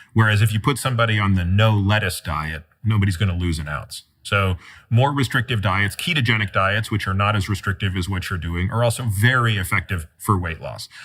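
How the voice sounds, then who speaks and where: A man with an ordinary speaking voice talks at a fairly low pitch and a fairly quick pace, with hardly any pauses and ordinary pitch variation. The recording is very clean, with a silent background. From Toronto, Canada. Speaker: physician and author. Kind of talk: interview conversation.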